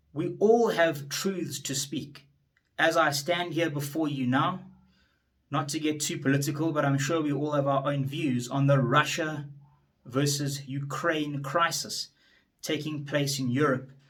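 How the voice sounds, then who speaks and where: Audible room echo surrounds a man's somewhat breathy, fairly high voice as he speaks at a fairly slow pace with fairly even intonation. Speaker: attorney and politician. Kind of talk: motivational speech. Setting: standing before an audience.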